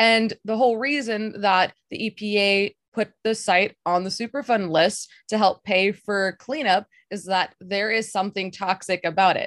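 In a very clean, dry, close recording with no echo and a silent background, a woman with an unremarkable speaking voice talks at a moderate pace with medium pitch and fairly even intonation. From Texas. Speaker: podcast producer and host. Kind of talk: interview. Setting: call.

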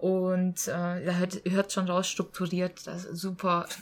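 At a fairly slow pace, a woman uses a normal speaking voice at medium pitch. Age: 20s. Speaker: teacher and scout leader. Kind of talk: casual interview.

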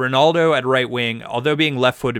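On a very clean recording with a silent background, a man speaks in a bright, sharp tone at medium pitch with ordinary pitch variation. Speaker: podcast regular. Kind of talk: casual chat.

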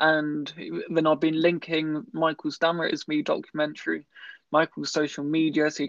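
Over a quiet background, a man with a fairly high voice speaks at a moderate pace in a monotone, flat intonation. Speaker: podcast host. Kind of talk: casual interview. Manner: stammer.

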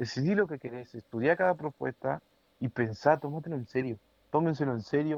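With a Rioplatense accent, a man speaks at a moderate pace in a fairly high pitch with ordinary pitch variation. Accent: Argentine Rioplatense Spanish. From Argentina, Entre Ríos. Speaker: podcast co-host. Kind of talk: casual chat. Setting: home recording.

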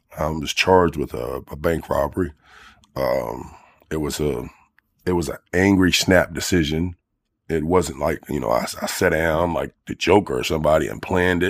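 A man with a very deep, low pitch and vocal fry talks at a moderate pace. His pitch varies in an ordinary way over a very clean, silent background. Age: 40s. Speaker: formerly homeless ex-prisoner. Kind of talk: interview. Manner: halting, many fillers.

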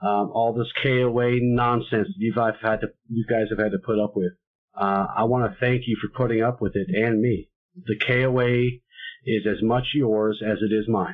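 An ordinary speaking voice, a man at medium pitch, fairly slow, with ordinary pitch variation. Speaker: podcast host. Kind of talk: casual chat.

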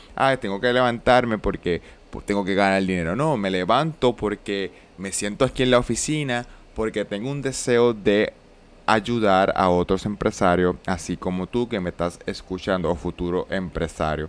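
Using a normal speaking voice, a man talks at a moderate pace with fairly low pitch and ordinary pitch variation. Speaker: business mentor and podcast host. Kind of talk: solo podcast monologue.

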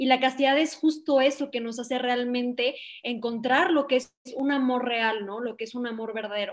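Fairly even intonation and a moderate pace from a woman pitched high. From Mexico, León, Guanajuato. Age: 20s. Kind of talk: podcast interview.

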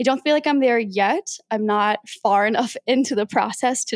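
A woman has a normal speaking voice at a fairly high pitch with ordinary pitch variation. The recording is very clean and dry, close, with no echo and a silent background. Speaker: podcast host. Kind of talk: solo casual monologue.

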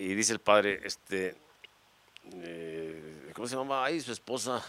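A man speaks in an animated tone. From Mexico, Guadalajara (Jalisco). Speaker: comedian. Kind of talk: casual chat.

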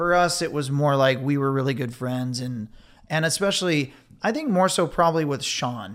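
Recorded very cleanly against a silent background, a man with an American accent has an unremarkable speaking voice, fairly high in pitch, with ordinary pitch variation at a moderate pace. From Ventura, California. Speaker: beverage company co-founder, former surf filmmaker. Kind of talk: interview.

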